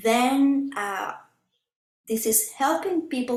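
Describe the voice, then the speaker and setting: The background is quiet, though the room echo is audible. A woman speaks at a high pitch. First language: Spanish. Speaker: spiritual healer. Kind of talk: website walkthrough presentation; explaining a website in a video call. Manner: halting. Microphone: webcam.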